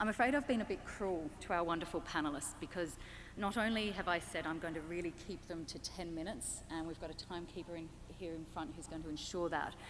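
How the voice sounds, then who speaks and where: Speaking with an Australian accent, a woman moves at a fairly quick pace. Her pitch varies in an ordinary way. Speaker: panel moderator. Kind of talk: panel introduction.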